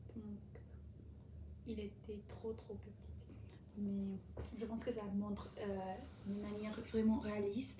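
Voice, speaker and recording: Noticeable noise behind a female voice, plus audible echo from the room. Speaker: language learner vlogger. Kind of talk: casual monologue about a book. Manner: slow; halting, many repetitions and fillers.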